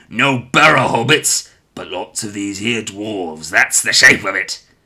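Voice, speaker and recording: A man growls in a put-on character voice at a fairly low pitch, his loudness swinging widely. He keeps a moderate pace, and the recording is very clean with a silent background. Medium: read story.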